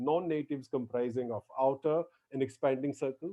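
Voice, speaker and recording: A man speaks with a Gujarati accent. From India, Gujarati speaker. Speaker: lecturer. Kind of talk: lecture. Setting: online lecture.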